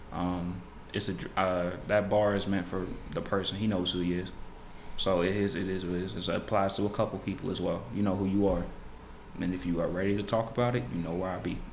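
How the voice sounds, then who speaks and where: A man with a very deep, low pitch talks at a fairly quick pace with fairly even intonation, amid audible room echo and light background noise. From Houston area, Texas; Texas. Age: 20s. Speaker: rapper. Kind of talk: casual interview chat. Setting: studio. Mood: relaxed, candid. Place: studio.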